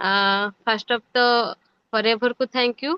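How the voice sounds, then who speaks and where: Her voice high and her intonation monotone and flat, a woman speaks with a non-native accent. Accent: non-native Hindi. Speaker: MLM distributor. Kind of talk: testimony. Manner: halting.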